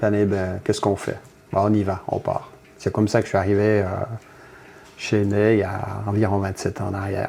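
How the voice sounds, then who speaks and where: A man speaks in a flat monotone, broken by long, frequent pauses. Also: fairly low pitch for a man, moderate pace. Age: 60s. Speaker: factory worker and union delegate. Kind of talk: interview. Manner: halting, many hesitations.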